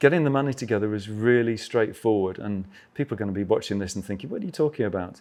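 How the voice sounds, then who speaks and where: In an English accent, a man speaks at a very fast pace with a fairly low pitch and ordinary pitch variation. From England. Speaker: travel author and adventure motorcyclist. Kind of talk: casual interview chat.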